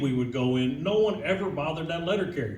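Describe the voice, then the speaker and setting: In an American accent, a man talks at a very fast pace with a high pitch and lively intonation amid noticeable background noise and audible room echo. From Kentucky, Louisville. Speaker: union official. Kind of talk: speech to audience. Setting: event hall with audience. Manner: casual, folksy.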